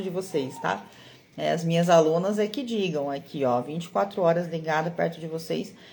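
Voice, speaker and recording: This is a normal speaking voice. The pitch varies in an ordinary way. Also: woman. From Brazil, Mato Grosso do Sul (Campo Grande). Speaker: card-reading teacher and mentor. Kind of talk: live online class. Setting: livestream. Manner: encouraging, conversational.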